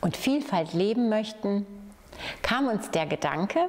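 A woman speaks at a fairly slow pace with a warm tone and lively intonation. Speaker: head of municipal youth, family and senior services. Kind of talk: community project announcement. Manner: friendly, warm. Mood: warm, friendly. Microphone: lapel.

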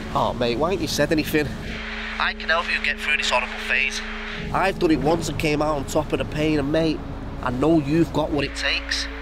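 Fairly quick and fairly even in intonation, a man talks over noticeable background noise. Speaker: supportive friend on phone. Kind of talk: acted phone conversation. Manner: warm, reassuring. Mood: warm, reassuring, earnest. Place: street.

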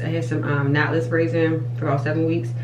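Against noticeable background noise, a woman with a very deep, low pitch talks at a fairly quick pace with fairly even intonation. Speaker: hair care vlogger. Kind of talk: casual vlog chat. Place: bathroom. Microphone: phone near.

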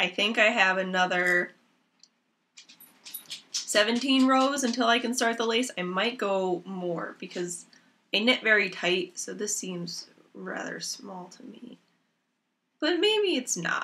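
A woman's medium-pitched voice, bright and sharp in tone, with lively intonation, a slow pace and long, frequent pauses

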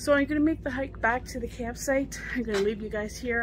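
Noticeable background noise sits behind a woman talking at a moderate pace, her sound dry with no echo. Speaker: van life vlogger. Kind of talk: casual vlog chat. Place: open country. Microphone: phone near.

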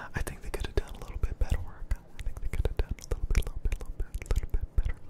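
A man whispers at a very fast pace. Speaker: streamer. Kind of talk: casual commentary. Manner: soft, close-mic ASMR murmur, repetitive. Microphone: studio mic.

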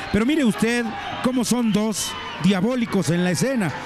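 A man speaks in a high pitch with lively intonation. Noticeable background noise sits behind him. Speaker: wrestling commentator. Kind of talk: live wrestling commentary.

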